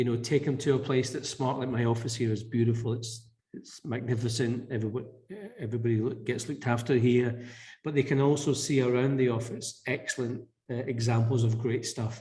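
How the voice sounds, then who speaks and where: Speaking with a Scottish accent, a man delivers fairly quick, monotone lines in a medium-pitched, somewhat breathy voice with a dark, mellow tone. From Scotland. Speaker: business leader. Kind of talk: podcast interview. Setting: office.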